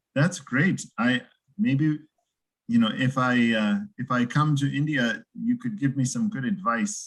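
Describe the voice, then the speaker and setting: A man with an American accent speaks fairly slowly in a somewhat breathy voice. His pitch is fairly high and swings very widely. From United States. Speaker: English teacher. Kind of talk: casual chat.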